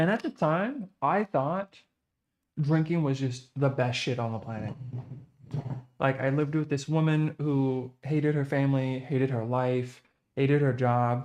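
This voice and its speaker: An ordinary speaking voice from a man at fairly high pitch, with ordinary pitch variation and a fairly slow pace. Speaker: live streamer. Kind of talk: casual livestream chat.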